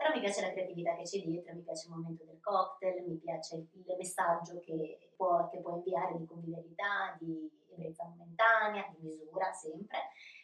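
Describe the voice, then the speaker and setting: A woman speaks with a fairly low pitch and monotone, flat intonation at a moderate pace, hardly pausing. Her loudness swings widely. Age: 40s. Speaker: bar and restaurant owner. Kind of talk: interview.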